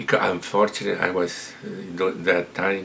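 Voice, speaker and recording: A man with a very deep, low pitch and an Italian accent, monotone and flat in intonation, at a moderate pace, over noticeable background noise. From Italy, Montebelluna (Veneto). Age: 70s. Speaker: retired immigrant telling life story. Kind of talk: personal storytelling interview. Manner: halting, with repetitions.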